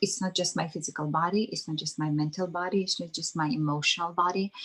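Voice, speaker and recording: With an American accent, a woman speaks at a fairly low pitch and fairly even intonation. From Armenia, later California. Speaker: spiritual retreat leader. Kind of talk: interview. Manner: halting.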